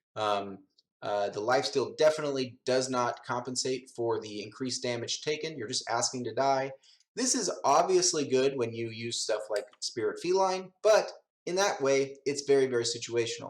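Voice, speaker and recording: A man speaks at medium pitch and a moderate pace, in a normal speaking voice. His intonation is lively. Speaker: gaming youtuber. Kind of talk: tutorial.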